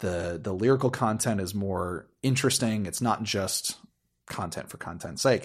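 With a plain, everyday voice and an American accent, a man speaks at a fairly low pitch and moderate pace with ordinary pitch variation, on a very clean recording with a silent background. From US. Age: 30s. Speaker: musician and friend of host. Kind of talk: casual chat.

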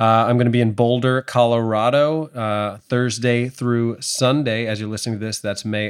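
In an American accent, a man speaks with a normal speaking voice at a medium pitch and a moderate pace, his intonation fairly even. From New York. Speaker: podcast co-host and comedian-actor. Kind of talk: casual chat.

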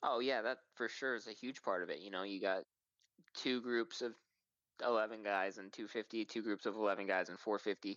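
Fairly low male voice at a moderate pace, with fairly even intonation. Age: 20s. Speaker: professional supercross rider. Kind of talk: interview. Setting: remote call.

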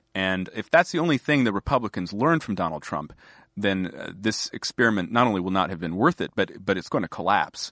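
Over a quiet background, a man talks in a normal speaking voice with an American accent. His intonation is lively. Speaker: magazine editor. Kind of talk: casual political conversation.

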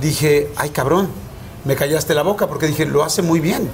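Noticeable background noise surrounds a man talking. He goes at a fairly quick pace with ordinary pitch variation. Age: 40s. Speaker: interviewer. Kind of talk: interview; show intro to camera. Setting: Monterrey.

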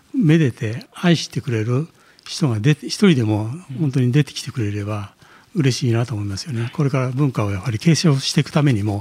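A man delivers his words fairly quickly and with lively intonation, his voice somewhat breathy. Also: medium pitch for a man. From Japan, Nagano. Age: 60s. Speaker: swordsmith. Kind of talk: interview. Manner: hesitant, many fillers.

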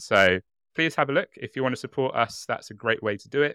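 A man's British accent, medium pitch and lively intonation, bright and sharp in tone, at a fairly quick pace, in dry, close sound with no echo on a very clean recording with a silent background. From Britain. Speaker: true crime podcast co-host. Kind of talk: casual chat with storytelling. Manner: animated.

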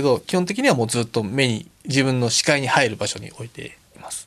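The man's voice sits fairly high in pitch. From Tokyo, Japan (Akiruno). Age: 40s. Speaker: Paralympic alpine skier. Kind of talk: interview.

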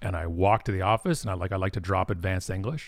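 With a Canadian accent, a man speaks at a fairly quick pace in a very deep, low, somewhat breathy voice with ordinary pitch variation, on a very clean recording with a silent background. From Ontario, Canada (Toronto suburbs). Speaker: marketing company president, speaker. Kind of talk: interview conversation.

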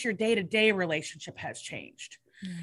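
Speaking fairly slowly with an American accent, a woman has a bright, sharp tone on a very clean recording with a silent background. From Seattle, Washington. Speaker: recovery panelist. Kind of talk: casual chat.

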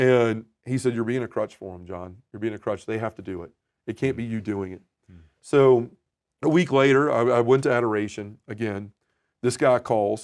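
A man speaks in a plain, everyday voice at medium pitch with ordinary pitch variation and big swings in loudness. The recording is very clean, with a silent background. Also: moderate pace. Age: 40s. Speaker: men's ministry leader. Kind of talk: casual chat.

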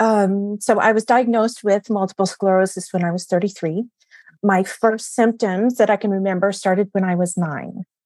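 At a moderate pace, a plain, everyday voice comes through with a dry, close sound and no echo. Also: woman, medium pitch for a woman, fairly even intonation. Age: 40s. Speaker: functional medicine practitioner. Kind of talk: casual interview.

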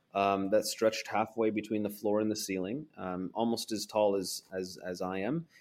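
A man with a West Coast accent talks at a moderate pace, with hardly any pauses, fairly even intonation and a fairly low pitch. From Portland, Oregon, US. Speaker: foreign correspondent and author. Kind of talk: interview.

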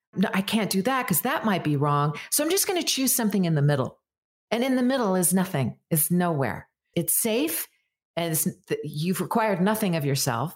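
On a very clean recording with a silent background, a woman with a fairly low, somewhat breathy voice speaks at a moderate pace, her pitch swinging very widely while her loudness stays very even. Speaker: voice actor. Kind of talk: casual chat. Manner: well-articulated.

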